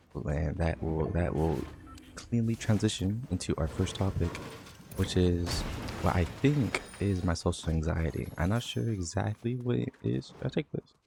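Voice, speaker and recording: Mumbling, a man speaks in a very deep, low voice with very wide pitch swings. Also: moderate pace. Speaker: vlogger. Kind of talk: casual monologue.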